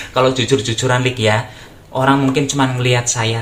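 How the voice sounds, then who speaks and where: Over noticeable background noise, a man with a Javanese accent talks at a medium pitch. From Java, Indonesia. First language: Javanese (speaking Indonesian). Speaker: YouTuber. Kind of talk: casual vlog talk. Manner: halting, many fillers.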